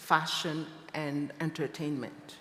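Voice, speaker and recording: This is a woman speaking. She has a French accent. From Niger. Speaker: fashion designer. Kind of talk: panel discussion.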